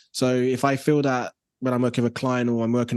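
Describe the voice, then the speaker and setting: Against a quiet background, a man with a London accent talks at a very fast pace at a medium pitch. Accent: London English, multicultural London. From south London (Brixton). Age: 30s. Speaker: graphic designer. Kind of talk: casual interview chat. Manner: animated, repetitive fillers.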